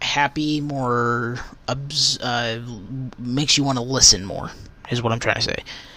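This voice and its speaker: The speech is mumbled, with ordinary pitch variation. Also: man. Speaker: religious podcaster. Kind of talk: casual devotional podcast talk. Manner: mumbling; halting, many fillers.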